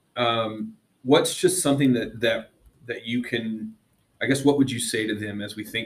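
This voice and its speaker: The voice belongs to a man with a somewhat breathy sound. His pitch is medium. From South America. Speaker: podcast co-host. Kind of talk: interview.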